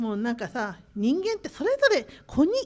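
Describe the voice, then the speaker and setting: Her pitch swings very widely as a woman talks at a moderate pace. The recording is very clean, and the background is silent. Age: 50s. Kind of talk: casual talk show. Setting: conference room.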